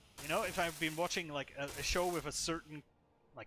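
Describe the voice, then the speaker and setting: With a non-native accent, a man speaks in a high pitch with a bright, sharp tone. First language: not English. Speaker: gaming streamer. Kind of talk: casual gameplay commentary.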